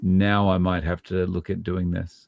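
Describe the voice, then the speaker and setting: With an Australian accent, a man speaks at a fairly slow pace in a very deep, low pitch on a very clean recording with a silent background. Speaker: low carb YouTuber. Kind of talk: casual chat.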